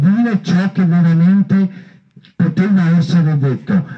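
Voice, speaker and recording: Through noticeable background noise, a man with a high pitch talks at a fairly slow pace. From Veneto, Stienta area. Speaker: council candidate. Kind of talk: campaign speech. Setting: outdoors in a park.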